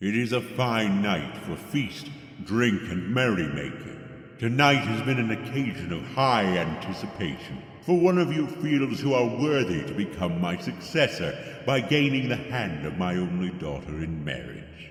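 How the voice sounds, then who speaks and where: Using a put-on character voice with very wide pitch swings, a man of medium pitch speaks at a moderate pace amid a clear echo. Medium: audio drama. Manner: imperious.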